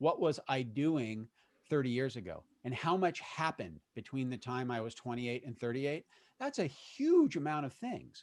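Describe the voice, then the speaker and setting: A man talks at a moderate pace and medium pitch. He has an ordinary speaking voice with ordinary pitch variation. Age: 50s. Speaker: YouTube creator. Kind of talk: interview conversation.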